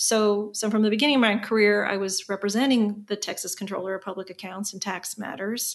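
In an American accent, a woman speaks with a plain, everyday voice at medium pitch. Her pace is fairly quick, with hardly any pauses and fairly even intonation. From Indiana, US Midwest. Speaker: tax attorney. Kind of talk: interview.

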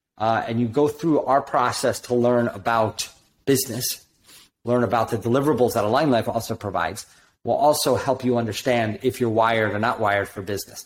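Moderate pace and ordinary pitch variation on a very clean recording with a silent background. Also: man. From New Jersey. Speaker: doctor and business coach. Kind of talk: casual business chat. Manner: animated.

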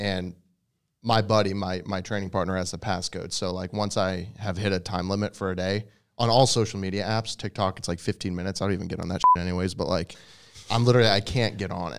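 A man talks very fast in a fairly low, monotone voice with flat intonation. The recording is very clean with a silent background. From New England (outside Boston), then West Virginia. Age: 30s. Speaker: fitness influencer and bodybuilder. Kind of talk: casual chat.

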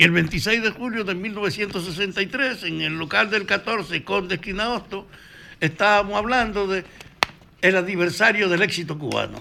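A man raises and projects his high-pitched voice at a fairly slow pace, with ordinary pitch variation over noticeable background noise. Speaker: former political activist. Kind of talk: interview.

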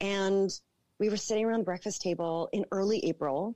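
Speaking fairly quickly with a Canadian accent, a woman has a dark, mellow, medium-pitched voice with ordinary pitch variation. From Toronto, Canada. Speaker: entrepreneur. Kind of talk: interview.

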